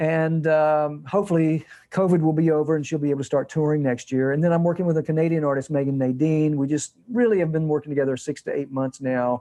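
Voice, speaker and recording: An animated man talks at a very fast pace with hardly any pauses. His pitch sits fairly high, and he has an American accent. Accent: Southern accent trained out. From Georgia, US South. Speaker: music producer and composer. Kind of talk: interview. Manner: animated, many repetitions and restarts.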